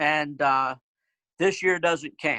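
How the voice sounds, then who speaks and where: A man with a bright, sharp tone talks at a fairly slow pace with ordinary pitch variation. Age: 60s. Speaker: former Bible camp director. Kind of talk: interview. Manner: halting.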